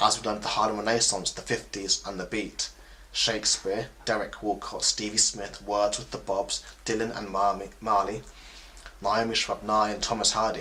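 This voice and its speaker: Fairly low-pitched and bright, sharp in tone, a man speaks at a moderate pace with flat, monotone intonation and vocal fry. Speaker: spoken word poet. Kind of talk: spoken word poetry performance.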